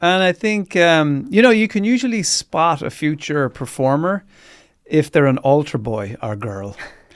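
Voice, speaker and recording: An Irish accent from a man at a fairly high pitch, fairly slow, with very wide pitch swings, in a very clean recording with a silent background. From rural Ireland. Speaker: radio host and comedian. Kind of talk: interview.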